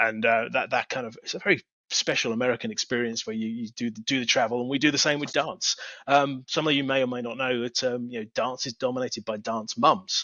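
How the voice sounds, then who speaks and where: A man with an English accent at medium pitch, very fast pace, and fairly even intonation. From England. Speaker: technology executive. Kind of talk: interview.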